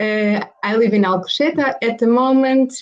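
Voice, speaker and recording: The speaker has a Portuguese accent. Pitch moves in an ordinary way. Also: woman. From Portugal, Caldas da Rainha. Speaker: flight attendant. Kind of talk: casual chat. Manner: halting.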